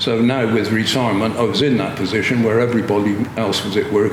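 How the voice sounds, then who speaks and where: A man with a West Country accent speaks at a medium pitch in a monotone, flat intonation. The recording carries noticeable background noise and audible room echo. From Gloucester, western England. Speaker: retired police officer. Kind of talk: interview. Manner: halting.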